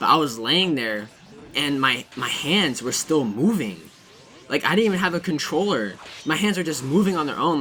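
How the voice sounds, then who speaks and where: Pitch swings very widely while noticeable background noise runs underneath. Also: man. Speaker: gaming youtuber. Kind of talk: casual gameplay commentary. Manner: stuttering; casual, rambling filler words.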